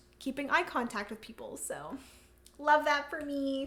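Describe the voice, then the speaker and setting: A woman at a moderate pace. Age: 20s. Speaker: board game streamer. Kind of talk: casual chat. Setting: livestream.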